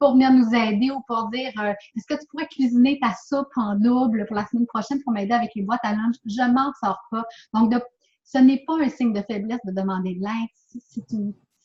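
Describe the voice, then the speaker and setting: Recorded with a dry, close sound and no echo, a woman with a fairly high pitch speaks with long, frequent pauses. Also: moderate pace. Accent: Quebec. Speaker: author and speaker. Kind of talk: interview answer.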